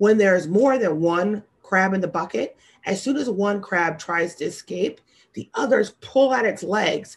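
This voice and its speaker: With an American accent, a woman speaks at a moderate pace with very wide pitch swings against a quiet background. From US Midwest, St. Louis suburbs, Missouri; Missouri. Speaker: sales executive. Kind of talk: keynote speech. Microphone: webcam.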